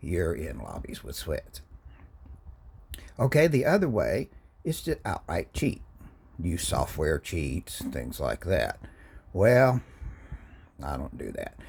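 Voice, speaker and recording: A man at a very slow pace, with long, frequent pauses. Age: 60s. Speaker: gaming YouTuber. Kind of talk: casual gaming talk to camera. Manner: casual, hesitant with fillers.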